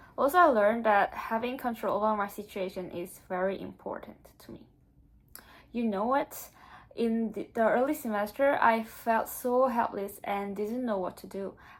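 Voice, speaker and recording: A woman with a Korean accent speaks at a moderate pace, her loudness swinging widely. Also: fairly high pitch for a woman, ordinary pitch variation. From South Korea. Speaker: exchange student vlogger. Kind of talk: casual vlog monologue.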